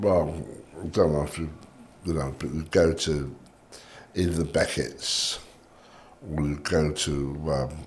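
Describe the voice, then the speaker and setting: With a southern English accent and vocal fry, a man speaks fairly slowly at a very deep, low pitch, with fairly even intonation, long, frequent pauses and audible room echo. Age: 60s. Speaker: cigar shop owner. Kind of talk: casual chat.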